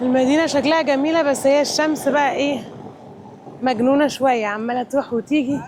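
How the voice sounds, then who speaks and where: A woman's high-pitched voice at a moderate pace, over noticeable background noise. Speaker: travel vlogger. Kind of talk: travel vlog. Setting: on location while traveling. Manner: casual, chatty.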